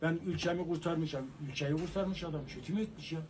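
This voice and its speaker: Ordinary pitch variation from a man, with light noise behind him. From Turkey, Erzurum; Turkey. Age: 70s. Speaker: elderly man interviewed; interviewee. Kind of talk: street interview. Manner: animated. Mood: earnest, emphatic. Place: shop.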